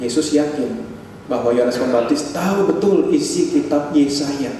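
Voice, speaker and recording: A man at a moderate pace, very even in loudness, with audible room echo and noticeable background noise. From Indonesia, Bandung (West Java). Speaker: pastor. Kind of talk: sermon. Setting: church service.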